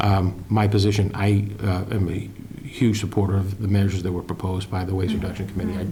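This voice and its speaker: Room echo is audible as a man with a fairly low pitch talks at a very fast pace in a flat monotone. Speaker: town administrator. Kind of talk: public meeting discussion. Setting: town board meeting.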